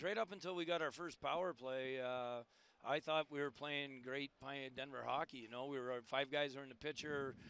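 The man's pitch sits in the medium range, with fairly even intonation. His tone is clear, smooth and fairly bright.

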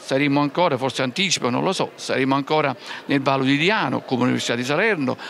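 A man talks fast in a medium pitch, with vocal fry and a fairly bright tone. His pitch varies in an ordinary way, and faint background noise can be heard.

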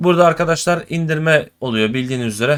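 A man talks at a very fast pace. His voice is fairly high, with ordinary pitch variation. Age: 20s. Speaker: gaming YouTuber. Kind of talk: tutorial. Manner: casual, chatty.

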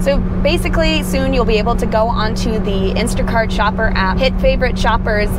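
A woman speaks at a moderate pace over loud background noise. The sound is dry, with no echo. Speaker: gig shopper vlogger. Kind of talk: casual vlog chat. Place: car. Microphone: lapel.

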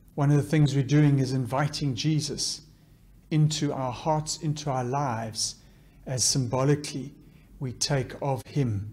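Somewhat breathy and dark, mellow in tone, a man's fairly high voice moves at a fairly slow pace with fairly even intonation. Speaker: clergy leading liturgy; minister leading service. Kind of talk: liturgical prayer. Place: church. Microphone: podium.

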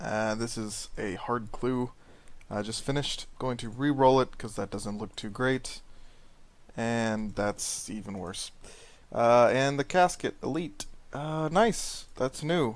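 On a very clean recording with a silent background, a man speaks at a moderate pace and a medium pitch with ordinary variation, in a plain, everyday voice. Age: 20s. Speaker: gaming YouTuber. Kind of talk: gameplay commentary. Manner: casual with frequent fillers.

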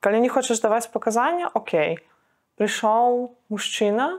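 A woman at a moderate pace, ordinary pitch variation, quiet background. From Belarus. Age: 20s. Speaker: student activist; interviewee, witness. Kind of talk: testimony. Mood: grave, subdued. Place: empty room. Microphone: lapel.

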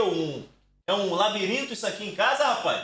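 A man is speaking. His pitch swings very widely. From Brazil. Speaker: streamer. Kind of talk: casual chat. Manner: animated. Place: home room. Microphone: studio mic.

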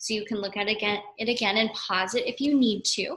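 Recorded against a quiet background, a woman's voice carries audible room echo. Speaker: teacher. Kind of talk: read-aloud lesson to young children. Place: classroom. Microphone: webcam.

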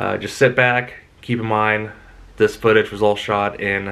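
A man speaks at a moderate pace with a fairly low voice. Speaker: vlogger. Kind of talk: casual vlog chat. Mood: cheerful, relaxed. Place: home room. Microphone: phone near.

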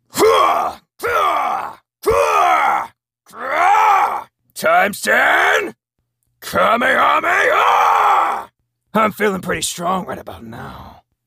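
In a put-on character voice, a man speaks at an extremely high pitch. His pace is very slow, with long, frequent pauses. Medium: voice reel. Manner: shouted, strained yells.

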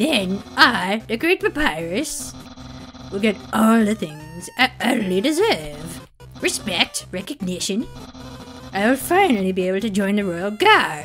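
Over clear music in the background, a man uses a put-on character voice at a high pitch and a fairly slow pace. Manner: pompous, loud, excitable.

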